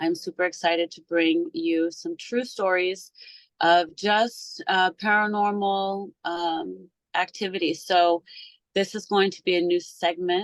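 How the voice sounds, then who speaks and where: Delivered at a fairly slow pace with fairly even intonation, a plain, everyday voice comes through in a dry, close sound with no echo. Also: woman, medium pitch for a woman. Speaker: podcast host. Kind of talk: casual podcast talk.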